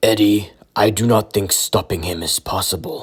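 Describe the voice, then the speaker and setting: In a put-on character voice, a man talks at a moderate pace with a raspy, fairly low pitch. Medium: read story. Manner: formal, speaks without contractions.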